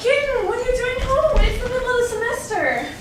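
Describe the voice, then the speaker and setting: Using a put-on character voice, a woman talks fairly quickly in a squeaky, extremely high pitch, with clear background noise and a slight echo. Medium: comedy sketch. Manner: gushing, excitable.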